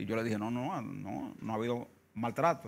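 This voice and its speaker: Vocal fry in a man's medium-pitched voice. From Dominican Republic, Santo Domingo; Dominican Republic. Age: 60s. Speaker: trade union leader. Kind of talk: interview. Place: studio. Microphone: lapel.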